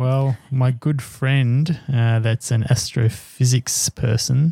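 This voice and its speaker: In an Australian accent, a man talks at a very slow pace with a medium pitch, fairly even intonation and a somewhat breathy, dark, mellow tone. The sound is dry and close, with no echo. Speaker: podcast co-host. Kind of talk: casual chat. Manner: hesitant, many fillers.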